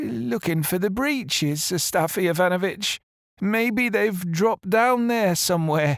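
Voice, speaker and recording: A man's put-on character voice, high-pitched and shaky, at a moderate pace with lively intonation and very even loudness. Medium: read story. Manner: hesitant, stammering.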